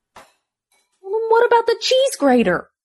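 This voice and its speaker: A put-on character voice, squeaky and extremely high in pitch. It moves at a moderate pace. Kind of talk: radio promo. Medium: comedy sketch.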